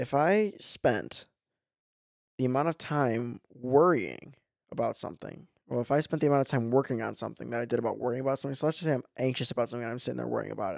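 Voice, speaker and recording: On a very clean recording with a silent background, a man speaks in an American accent. His pitch is medium and his pace very fast. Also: ordinary pitch variation. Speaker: podcast co-host. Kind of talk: casual chat. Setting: studio.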